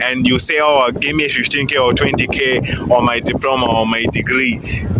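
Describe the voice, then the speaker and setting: Against noticeable background noise and audible room echo, a man speaks at a medium pitch with fairly even intonation. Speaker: IT engineer and career vlogger. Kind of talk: casual vlog commentary. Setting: outdoors at a stadium. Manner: fast.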